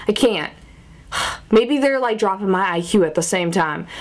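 Animated in tone, a woman with an American accent speaks at a fairly slow pace. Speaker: vlogger. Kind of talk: casual vlog monologue. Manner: animated, chatty. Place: home room. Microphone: phone near.

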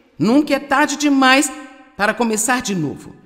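Noticeable background noise sits under a woman's voice. She speaks at a high pitch and a moderate pace with ordinary pitch variation. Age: old. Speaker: Bible teacher. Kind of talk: sermon.

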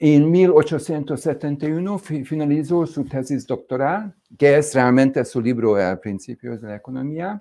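With a Hungarian accent, a man speaks very slowly, in a dark, mellow tone and with hardly any pauses. His pitch varies in an ordinary way while his loudness swings widely. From Hungary. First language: Hungarian (speaking Spanish). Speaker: economics speaker; speaker. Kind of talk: lecture. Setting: stage with audience. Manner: halting. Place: studio. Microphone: lapel.

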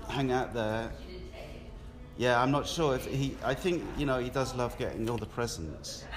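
A man with a southern English accent and a medium pitch speaks at a moderate pace with ordinary pitch variation, and audible room echo can be heard. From southern England, Portsmouth. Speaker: artist. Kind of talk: casual interview.

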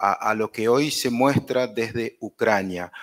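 Over a quiet background, a man with a medium pitch and ordinary pitch variation talks in an ordinary speaking voice. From Argentina. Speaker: journalism lecturer. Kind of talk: interview. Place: hall.

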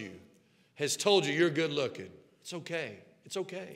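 With a Southern US accent, a man talks in an animated tone at a moderate pace against a quiet background. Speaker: pastor. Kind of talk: sermon. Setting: church sanctuary with congregation. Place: church. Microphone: headset.

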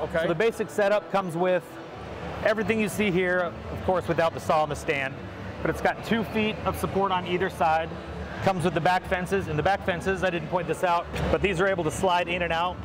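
Noticeable background noise sits behind a man who speaks at a very fast pace, his high-pitched voice keeping a very even loudness. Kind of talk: product demonstration. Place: hall.

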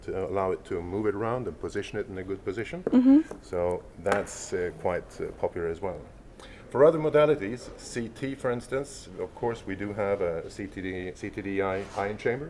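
A normal speaking voice from a man, fairly low in pitch, at a moderate pace with ordinary pitch variation and light background noise. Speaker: product demonstrator. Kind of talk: product demo explanation. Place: hall. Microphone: lapel.

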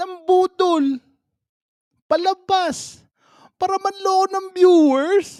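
A man speaks at an extremely high pitch and a very slow pace, with long, frequent pauses. The sound is dry and close with no echo. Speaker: reaction vlogger. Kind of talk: casual reaction commentary. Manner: animated, frequent laughter.

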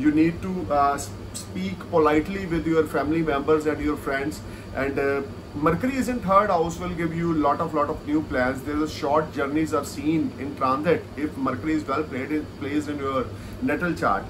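Noticeable background noise sits behind a man speaking at a moderate pace. His pitch is fairly high and his intonation lively. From India. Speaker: astrologer. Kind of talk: video monologue of astrological forecasts. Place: home room. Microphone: earbuds.

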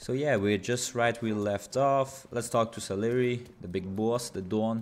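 A non-native accent at a moderate pace, with fairly even intonation. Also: man, medium pitch for a man. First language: non-native English speaker. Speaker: gaming YouTuber. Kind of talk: gameplay commentary. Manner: casual.

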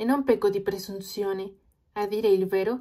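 Dark, mellow tone from a woman with a Spanish accent, medium pitch and a fairly quick pace. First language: Spanish (speaking Italian). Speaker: language learner vlogger. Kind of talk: reading aloud.

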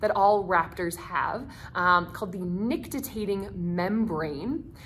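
A woman's voice with light background noise. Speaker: nature center educator. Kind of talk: educational talk. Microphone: phone near.

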